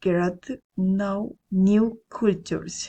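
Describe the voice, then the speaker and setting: Somewhat breathy, a woman talks at medium pitch. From Colombia, Cesar. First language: Spanish. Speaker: language student. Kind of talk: self-introduction for class. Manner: halting, some repetitions.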